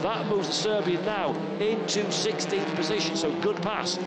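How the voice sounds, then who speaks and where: Over noticeable background noise, a man speaks at a high pitch in an animated, excited tone with ordinary pitch variation. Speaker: race commentator. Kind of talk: live race commentary. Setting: motorsport race broadcast voiceover. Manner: fast, excited play-by-play; animated, punchy, rising with the action.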